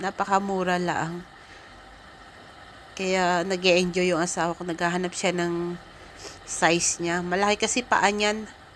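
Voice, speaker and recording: A woman at a medium pitch with monotone, flat intonation, a fairly slow pace and long, frequent pauses. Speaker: travel vlogger. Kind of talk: casual vlog narration. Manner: halting, unpolished.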